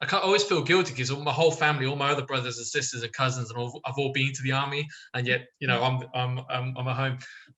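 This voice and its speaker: A man with an English accent, talking at a very fast pace in a fairly even intonation, with noticeable background noise. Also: medium pitch for a man, hardly any pauses. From England, born in Israel. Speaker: online discussion participant. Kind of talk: casual chat. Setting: video call.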